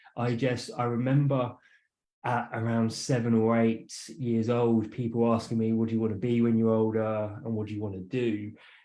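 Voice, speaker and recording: A man with an English accent speaks at a moderate pace and medium pitch in a dark, mellow tone, monotone and flat, with audible room echo. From southern England, west of London. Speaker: entrepreneur and author. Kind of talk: interview. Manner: halting, many fillers.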